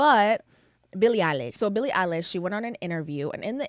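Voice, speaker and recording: A woman's medium-pitched, animated voice at a fairly quick pace, with very wide pitch swings. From Kenyan family. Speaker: podcast host. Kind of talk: casual chat.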